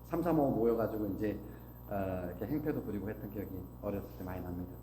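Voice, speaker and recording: A man's voice makes very wide pitch swings amid audible room echo. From Korea, Gangwon (Taebaek), moved to Seoul at 12. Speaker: business owner giving a talk. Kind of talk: motivational talk.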